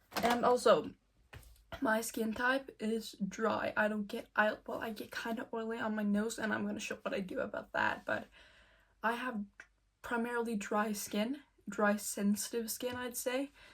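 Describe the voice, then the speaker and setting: A woman speaks at a moderate pace with a slight non-native accent. Her fairly high voice keeps a fairly even intonation. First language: not English. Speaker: beauty vlogger. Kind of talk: makeup tutorial. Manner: casual, filler-heavy.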